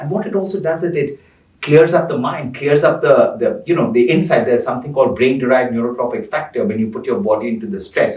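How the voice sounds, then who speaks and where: Over music in the background, a man with a high pitch talks very fast, his pitch swinging very widely. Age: 60s. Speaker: former army officer and global diplomat. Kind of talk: podcast interview.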